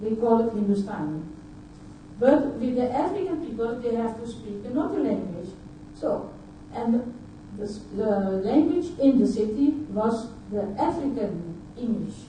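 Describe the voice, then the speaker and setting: A woman speaks with lively intonation at a fairly slow pace, leaving long, frequent pauses. Audible room echo and noticeable background noise fill the recording. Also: fairly high pitch for a woman. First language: Dutch. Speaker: conference speaker. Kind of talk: conference talk. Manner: halting.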